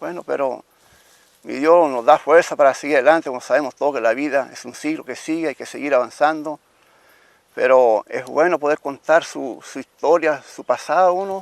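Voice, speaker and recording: The man's fairly high voice has ordinary pitch variation and big swings in loudness, with a dry, close sound and no echo. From Chile, Italian-Trentino colonist family. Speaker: interviewee telling family history. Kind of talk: oral history testimony. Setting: outdoors at former family home. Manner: fast; halting.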